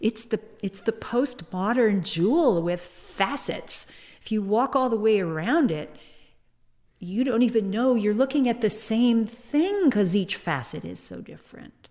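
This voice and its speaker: A woman speaks in a normal speaking voice, fairly high in pitch, at a fairly slow pace. Her intonation is lively, and her loudness swings widely. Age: 60s. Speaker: sex educator and activist. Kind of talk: casual interview conversation. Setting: museum.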